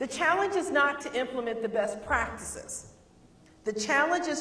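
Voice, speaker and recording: Over noticeable background noise and audible room echo, a woman with a Southern US accent talks at a moderate pace in an animated tone with lively intonation. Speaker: keynote speaker on higher education. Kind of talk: keynote talk.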